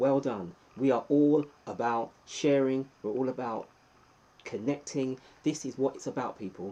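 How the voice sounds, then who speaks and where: A dark, mellow tone delivered at a moderate pace. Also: man. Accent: English. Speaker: YouTuber. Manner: calm.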